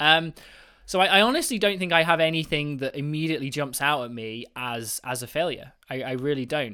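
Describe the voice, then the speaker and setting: A man with a British accent talks at a fairly quick pace in a fairly high pitch, with an enthusiastic, animated tone, ordinary pitch variation, and a very clean recording with a silent background. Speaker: mathematician and university teacher. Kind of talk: casual interview.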